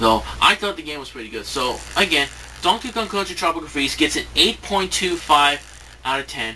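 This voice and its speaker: There is noticeable background noise as a man talks at a moderate pace. His pitch swings very widely. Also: fairly high pitch for a man, big swings in loudness. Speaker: video game reviewer. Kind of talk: spoken review to camera. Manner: halting, many fillers and restarts.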